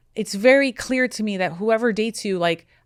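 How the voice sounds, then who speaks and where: Lively intonation carries a woman's fairly high pitch at a fairly quick pace. It is a plain, everyday voice. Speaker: matchmaker, podcast host. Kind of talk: podcast conversation, advice.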